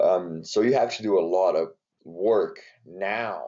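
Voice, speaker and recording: Here a man is talking. He has a Brazilian Portuguese accent. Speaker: strength and conditioning coach. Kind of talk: podcast interview. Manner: hesitant, many fillers.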